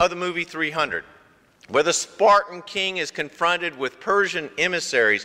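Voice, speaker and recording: A man's high-pitched voice sounds over a quiet background. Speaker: pastor. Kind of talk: sermon. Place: church.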